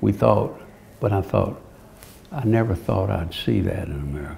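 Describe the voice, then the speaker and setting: Light background noise behind a man's moderately paced speech. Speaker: retiring senator. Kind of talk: interview answer. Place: office. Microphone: lapel.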